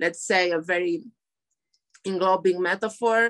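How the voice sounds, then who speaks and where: A woman with a Romanian accent, at a fairly slow pace with fairly even intonation. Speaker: poet and translator. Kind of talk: interview. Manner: halting.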